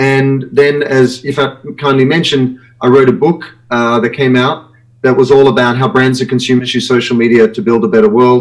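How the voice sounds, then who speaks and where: A man's medium-pitched voice in an Australian accent, fairly quick in pace, with ordinary pitch variation. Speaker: branding consultant and author. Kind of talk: live web show interview.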